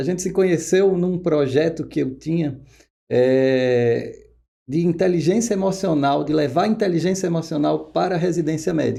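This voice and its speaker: With a northeastern Brazilian accent, a man speaks at a moderate pace with a fairly high pitch. His tone is dark and mellow, with ordinary pitch variation. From Pernambuco, northeast Brazil. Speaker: oncologist. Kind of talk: podcast interview.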